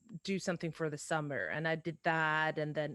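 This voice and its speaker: In a Swedish accent, a woman speaks at a fairly low pitch, recorded very cleanly against a silent background with a dry, close sound and no echo. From Sweden. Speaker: singer-songwriter. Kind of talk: casual interview chat. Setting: live-streamed podcast.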